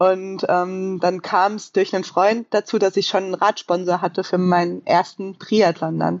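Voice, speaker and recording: Her medium-pitched voice moves at a moderate pace with monotone, flat intonation. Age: 30s. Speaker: professional triathlete and coach. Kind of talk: casual interview conversation.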